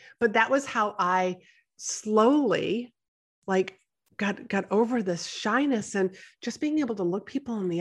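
Speaking with an American accent, this is an ordinary speaking voice at a fairly slow pace. Pitch variation is ordinary, and the background is quiet. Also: woman. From New England, US. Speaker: podcast host and business mentor. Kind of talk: interview, casual chat.

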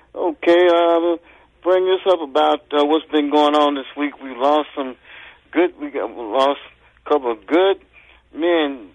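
A man with a fairly high pitch speaks at a fairly slow pace, leaving long, frequent pauses, with ordinary pitch variation. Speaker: caller. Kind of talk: call-in. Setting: phone call. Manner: halting.

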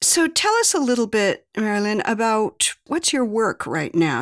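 With a normal speaking voice, a woman talks at a moderate pace and a medium pitch. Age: 60s. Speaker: podcast host. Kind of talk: interview.

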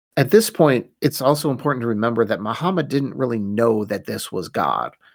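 Using vocal fry, a man of medium pitch talks at a fairly quick pace with lively intonation. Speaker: podcast host. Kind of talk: scripted-style solo podcast narration, history lesson. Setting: studio. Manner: conversational, wry, self-deprecating humor; dramatic, storytelling narration in the first-revelation passage.

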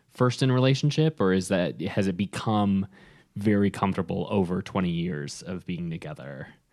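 An unremarkable speaking voice from a man, fairly low-pitched with lively intonation, on a very clean recording with a silent background. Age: 30s. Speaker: podcast co-host, businessman. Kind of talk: casual chat.

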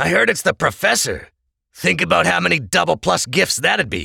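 Putting on a raspy character voice, a man speaks at medium pitch and a moderate pace with very wide pitch swings. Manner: greedy.

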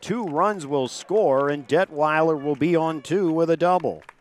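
A man with an American accent, fairly high in pitch, at a fairly slow pace, amid noticeable background noise. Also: very even loudness. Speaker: high school baseball play-by-play announcer. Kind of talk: live baseball play-by-play commentary, calling each pitch. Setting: press booth at outdoor ballfield. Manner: brisk, rhythmic pitch-by-pitch calling in clipped phrases; chatty and easygoing, bantering with co-host between pitches.

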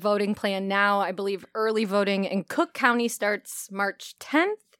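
Against a silent background in a very clean recording, a woman with an American accent speaks at a fairly high pitch and moderate pace in an ordinary speaking voice, dry and close with no echo. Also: hardly any pauses. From Elgin, Illinois, US Midwest. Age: 40s. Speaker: podcast host and arts nonprofit director. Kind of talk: interview.

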